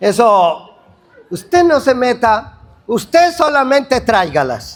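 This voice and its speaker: At a very slow pace, a man talks with an extremely high pitch and very wide pitch swings. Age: 60s. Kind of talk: sermon. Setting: prayer gathering with congregation. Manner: animated.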